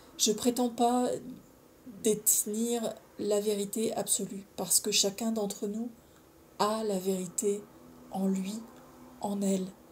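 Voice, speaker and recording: Over light background noise, a woman speaks at a very slow pace with long, frequent pauses. Her voice is somewhat breathy, with monotone, flat intonation. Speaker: video blogger on personal development and spirituality; video blogger on personal development. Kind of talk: casual solo monologue to camera, sharing personal experience; casual vlog chat. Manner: informal, chatty, hesitant with many fillers. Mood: calm, earnest, reflective. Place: home room. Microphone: phone near.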